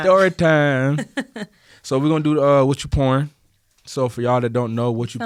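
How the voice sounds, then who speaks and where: Speaking with an American accent at a fairly high pitch, a man moves at a fairly quick pace with ordinary pitch variation and long, frequent pauses. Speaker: podcast host.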